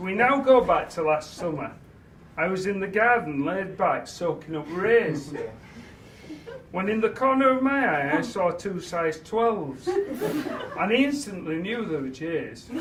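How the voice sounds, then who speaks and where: Man with a Yorkshire accent, high-pitched and warm in tone, with very wide pitch swings, a fairly slow pace, and noticeable background noise. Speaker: father of the bride. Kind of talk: wedding speech. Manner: humorous, warm.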